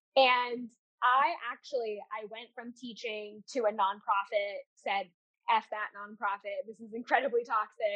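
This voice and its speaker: A woman speaks at a moderate pace with fairly even intonation and a fairly high pitch. She has a plain, everyday voice. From Seattle area, US. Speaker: candle business owner and teacher. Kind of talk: casual interview chat.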